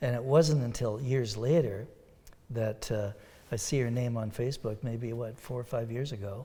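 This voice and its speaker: Speaking at a moderate pace, a man with a medium pitch and a somewhat breathy, dark, mellow tone keeps his intonation fairly even. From Ontario, Sault Ste. Marie area. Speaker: country and bluegrass musician. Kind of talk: interview.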